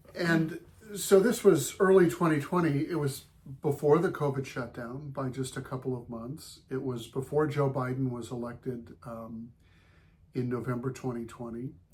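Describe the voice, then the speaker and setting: A man's somewhat breathy, medium-pitched voice with an American accent, ordinary pitch variation, a moderate pace and big swings in loudness. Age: 60s. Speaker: gardening blogger's husband. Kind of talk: reflective remarks.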